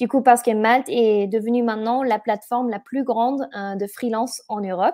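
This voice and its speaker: A woman's fairly high pitch with a dark, mellow tone, a slight German accent, fairly even intonation and a moderate pace. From Germany. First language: German (speaking French). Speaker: event organizer and webinar host. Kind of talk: webinar presentation. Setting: online webinar. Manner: halting, many hesitations.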